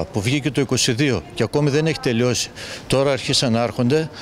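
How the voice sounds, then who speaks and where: The speaker talks at a fairly slow pace with ordinary pitch variation. The sound is dry with no echo, over light background noise. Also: man. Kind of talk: interview answer. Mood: concerned, critical. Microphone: handheld.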